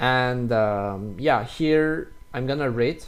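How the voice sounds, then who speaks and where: A speaker with a non-native accent talks with lively intonation. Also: man. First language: French. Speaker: French teacher. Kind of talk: tutorial. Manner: halting.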